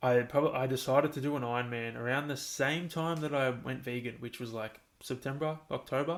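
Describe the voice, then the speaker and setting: Fairly quick speech with an Australian accent and fairly even intonation. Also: man, medium pitch for a man. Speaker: podcast host. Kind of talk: casual monologue. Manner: monotone; rambling, halting.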